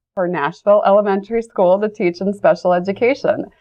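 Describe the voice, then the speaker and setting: A woman with a Midwestern US accent talks at a fairly quick pace and medium pitch. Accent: US Midwest. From Ohio, Cleveland area. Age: 40s. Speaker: school superintendent. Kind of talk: interview.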